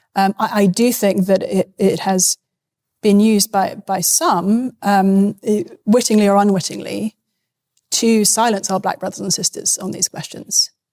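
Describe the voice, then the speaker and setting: A woman with a British accent and a dark, mellow tone speaks at a medium pitch and a fairly slow pace, with fairly even intonation, in a dry, close sound with no echo. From UK. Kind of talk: debate.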